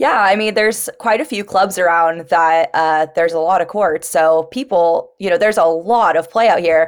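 A woman talks in a normal speaking voice with an American accent, her pitch fairly low with ordinary variation. She keeps a moderate pace with hardly any pauses. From California. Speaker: professional pickleball player. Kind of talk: casual chat.

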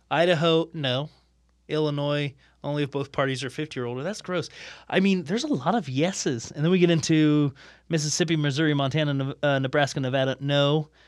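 A man with an American accent speaks at a fairly high pitch and a fairly quick pace. His intonation is fairly even, and the recording is very clean with a silent background. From Ohio, US Midwest. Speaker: podcast guest. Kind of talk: casual chat. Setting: studio. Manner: long-winded.

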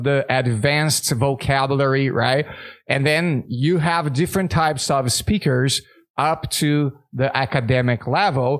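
A man with a Portuguese accent speaks at a fairly slow pace. His pitch shifts in an ordinary way. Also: very clean recording, silent background. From Brazil. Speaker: English teacher and podcast host. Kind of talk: casual chat.

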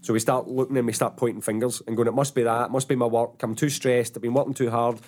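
A man with a Glaswegian accent, very fast and monotone at a medium pitch, in a very clean recording with a silent background. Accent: Glaswegian Scottish. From Scotland, Paisley. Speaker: motivational coach and trainer. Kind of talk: casual chat.

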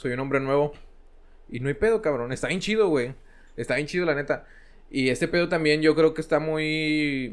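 A man speaks at a moderate pace with a fairly high pitch and ordinary pitch variation. His speech has long, frequent pauses. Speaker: podcast co-host. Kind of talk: casual chat.

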